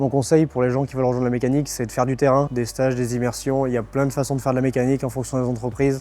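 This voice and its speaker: Amid noticeable background noise, a man speaks very fast at a medium pitch with a monotone, flat intonation. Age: 20s. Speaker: quality manager in industry. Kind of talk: interview testimony.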